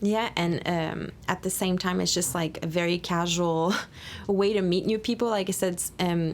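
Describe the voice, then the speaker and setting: Her pitch fairly low, a woman talks at a moderate pace with fairly even intonation. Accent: Quebec. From Quebec. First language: French. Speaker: podcast host, volunteer coordinator. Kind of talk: casual interview chat.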